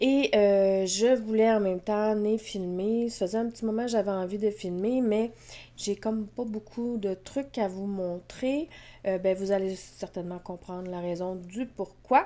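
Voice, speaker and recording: In a Quebec accent, a woman speaks at a fairly slow pace and medium pitch with a dark, mellow tone. Her intonation is fairly even, and the recording is very clean with a silent background. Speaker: knitting podcaster. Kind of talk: casual vlog chat. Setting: at home with cats. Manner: hesitant, many fillers.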